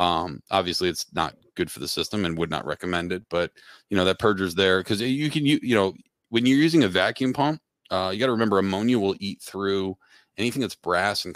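Fairly quick and with lively intonation, a man with an American accent and fairly low pitch talks in an unremarkable speaking voice, in a dry, close sound with no echo and a very clean recording with a silent background. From Pennsylvania. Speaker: refrigeration technician and trainer. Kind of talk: casual interview chat.

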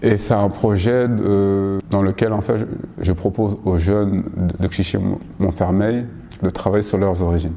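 A man's fairly low voice at a fairly slow pace with fairly even intonation, over noticeable background noise. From Paris, France. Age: 30s. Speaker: choreographer and graphic designer. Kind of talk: interview. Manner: halting, many repetitions and fillers.

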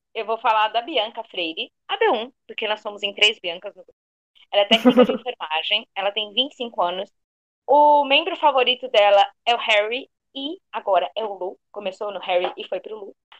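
In a normal speaking voice, a woman talks at a moderate pace with a fairly high pitch, ordinary pitch variation and big swings in loudness, the sound dry and close with no echo. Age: 30s. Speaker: fan podcast co-host, fashion designer. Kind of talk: casual chat.

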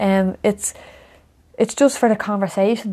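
A woman speaks with a Dublin accent at a fairly quick pace. Her medium-pitched voice has a dark, mellow tone. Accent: north Dublin Irish. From Ireland, Coolock, north Dublin. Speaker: former footballer. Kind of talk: casual chat.

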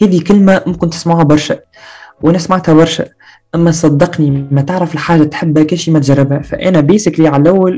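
Speaking at a fairly quick pace, a man with a plain, everyday voice uses a fairly high pitch. His intonation is fairly even and his loudness very even. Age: 20s. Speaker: university student and content creator. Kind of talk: casual interview chat.

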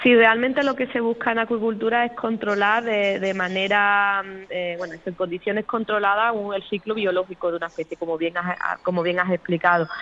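A woman's medium-pitched voice with a bright, sharp tone, ordinary pitch variation and a fairly quick pace. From Cádiz province, Andalusia, Spain. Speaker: marine biologist, aquaculture research manager. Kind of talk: interview. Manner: hesitant, many repetitions.

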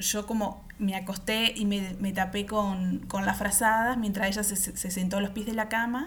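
In a room with audible echo, a woman with a Uruguayan accent speaks at a medium pitch with monotone, flat intonation. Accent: Uruguayan Spanish (rioplatense). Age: 30s. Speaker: podcast host. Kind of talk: personal storytelling.

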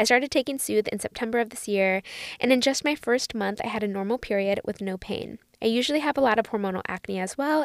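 Her pitch fairly high and her tone animated, a woman speaks at a fairly quick pace with ordinary pitch variation. The recording is very clean, with a silent background and a dry, close sound that has no echo. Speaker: podcast host. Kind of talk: casual chat.

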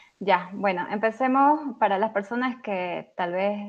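Pitch varies in an ordinary way as this woman talks very slowly. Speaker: software developer. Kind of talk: technical tutorial.

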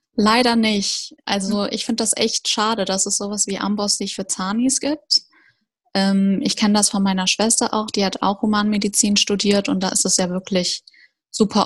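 A woman talks with fairly even intonation in a somewhat breathy voice. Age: 20s. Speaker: recent dental graduate. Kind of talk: interview.

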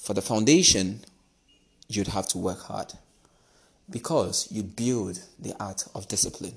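With a fairly low pitch and a somewhat breathy voice, a man speaks at a fairly slow pace, leaving long, frequent pauses. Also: ordinary pitch variation. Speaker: podcast host. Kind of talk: motivational monologue.

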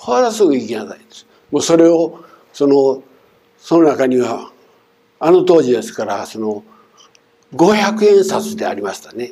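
At a fairly slow pace, a man with a fairly high pitch speaks with long, frequent pauses, big swings in loudness and very wide pitch swings. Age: 70s. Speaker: church minister giving sermon. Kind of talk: sermon. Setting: church. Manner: formal, with fillers.

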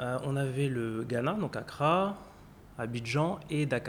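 His voice is somewhat breathy. This man speaks with a fairly high pitch. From France, Paris. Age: 30s. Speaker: insurance executive. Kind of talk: interview.

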